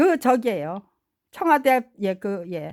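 In a very clean recording with a silent background, a woman is talking. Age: 70s. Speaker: political vlogger. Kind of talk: monologue. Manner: halting.

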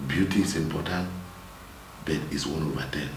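A man with a Nigerian accent talks at a moderate pace with fairly even intonation over light background noise. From Nigeria, Cross River State. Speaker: minister. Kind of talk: interview on marriage. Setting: studio. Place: studio. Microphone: lapel.

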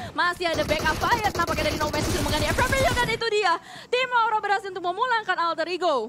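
A woman with an extremely high pitch and a raised, projected voice speaks at a very fast pace with lively intonation over noticeable background noise. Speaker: esports commentator. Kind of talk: live esports commentary. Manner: fast-paced, excitable; rapid-fire, run-on play-by-play.

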